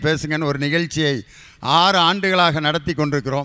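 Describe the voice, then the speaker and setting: A man speaks at a fairly high pitch for a man, his tone bright and sharp. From Madurai district, Tamil Nadu. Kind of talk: public speaking, emcee.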